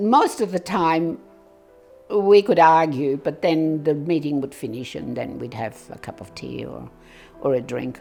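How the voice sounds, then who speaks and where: Music plays in the background while a woman talks at a moderate pace. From Serbia. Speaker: former local councillor. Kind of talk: life story interview. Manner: casual, conversational.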